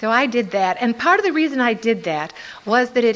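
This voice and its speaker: Her voice is fairly high, with lively intonation and a moderate pace. The woman is heard over noticeable background noise. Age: old. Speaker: twelve-step recovery speaker. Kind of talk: testimony.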